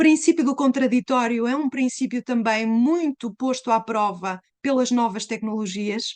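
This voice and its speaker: A woman with a European Portuguese accent talks at a moderate pace with hardly any pauses, her pitch high and its variation ordinary. The sound is dry and close, with no echo. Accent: closed European Portuguese. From Portugal. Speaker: law professor. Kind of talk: lecture. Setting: live online webinar.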